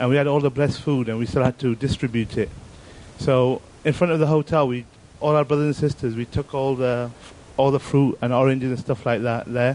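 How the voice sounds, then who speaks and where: A plain, everyday voice from a man at medium pitch, fairly quick in pace, with fairly even intonation. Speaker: audience member. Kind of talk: anecdote.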